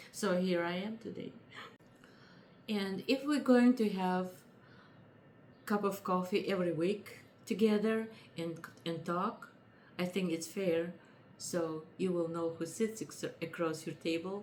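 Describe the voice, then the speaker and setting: Someone with a non-native accent talks at a fairly slow pace, with ordinary pitch variation and long, frequent pauses. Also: woman, medium pitch for a woman. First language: not English. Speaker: lifestyle vlogger. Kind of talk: casual chat.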